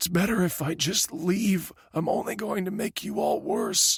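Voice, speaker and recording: A man puts on a raspy character voice pitched high, with ordinary pitch variation, at a moderate pace. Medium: read story.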